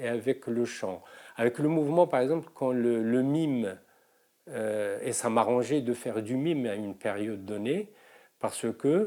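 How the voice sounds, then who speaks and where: Ordinary pitch variation in a dark, mellow tone. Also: man. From Morocco. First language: Moroccan Arabic (speaking French). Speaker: singer and mime performer. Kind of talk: interview testimony. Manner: halting, many hesitations.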